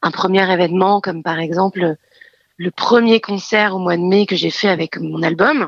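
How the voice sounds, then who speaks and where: At a moderate pace, a woman with a medium pitch talks with fairly even intonation in a dry, close sound with no echo. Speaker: actress, singer and hypnotherapist. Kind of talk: interview.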